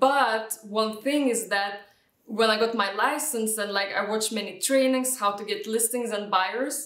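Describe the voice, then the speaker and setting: A fairly high-pitched woman speaks fairly slowly in a Lithuanian accent, keeping her intonation fairly even. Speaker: real estate agent. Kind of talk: interview answer.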